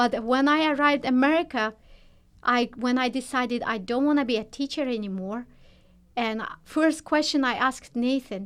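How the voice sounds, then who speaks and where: With a non-native accent, a woman speaks at a moderate pace in a high pitch with ordinary pitch variation, on a very clean recording with a silent background. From Turkmenistan. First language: not English. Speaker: nurse. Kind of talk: interview. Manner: halting.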